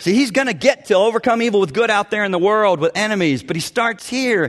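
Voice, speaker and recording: The man's pitch is high. Noticeable background noise sits behind him. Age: 50s. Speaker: guest preacher. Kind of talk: sermon. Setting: church.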